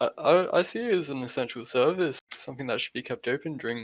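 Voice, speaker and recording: Talking at a fairly quick pace with an Australian accent and ordinary pitch variation, the voice comes through dry and close with no echo. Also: man. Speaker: podcast guest. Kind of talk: casual chat.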